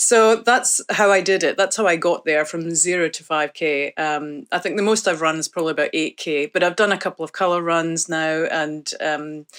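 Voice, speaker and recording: A woman with a Scottish accent speaks at a moderate pace with a fairly low pitch, ordinary pitch variation and hardly any pauses. The recording is very clean with a silent background and a dry, close sound with no echo. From northeast Scotland. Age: 50s. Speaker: study participant. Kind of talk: interview.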